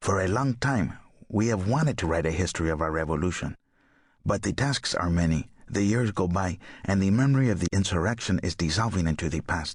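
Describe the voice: A man puts on a gruff character voice with a South American Spanish accent, speaking at a fairly quick pace with a very deep, low pitch, lively intonation and very even loudness.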